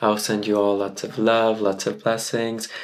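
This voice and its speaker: There is noticeable background noise behind a man speaking at a medium pitch. He keeps a moderate pace with monotone, flat intonation. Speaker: content creator and tarot reader. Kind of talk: personal vlog monologue. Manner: casual, conversational.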